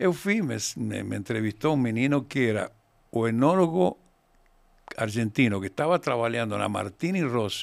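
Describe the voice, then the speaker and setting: A man at a moderate pace with very wide pitch swings, in a very clean recording with a silent background. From Argentina, raised in Mendoza. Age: 70s. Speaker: winemaker. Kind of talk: interview. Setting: studio. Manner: halting.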